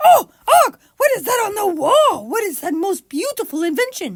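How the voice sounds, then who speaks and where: A put-on character voice, pitched extremely high, sings its lines in a sing-song pattern with very wide pitch swings. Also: moderate pace. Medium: read story. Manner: affected, sing-song beautiful voice.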